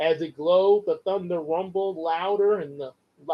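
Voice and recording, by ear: The speaker is reading aloud in a natural voice. The background is quiet.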